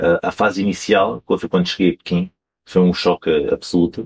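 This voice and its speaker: Dry and close with no echo, a man's voice moves at a moderate pace with lively intonation. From Portugal, Alentejo (Campo Maior). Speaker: wine importer. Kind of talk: interview.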